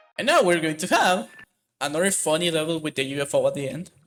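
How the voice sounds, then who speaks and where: A man with a non-native accent, high pitch, ordinary pitch variation and a moderate pace. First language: not English. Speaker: speedrunner. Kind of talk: live gameplay commentary. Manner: halting.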